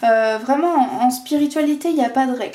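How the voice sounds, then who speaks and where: Her voice is high-pitched with a dark, mellow tone, and this woman's intonation is lively. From France, Vendée. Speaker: tarot and oracle card reader. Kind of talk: oracle card reading video. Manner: hesitant, many fillers.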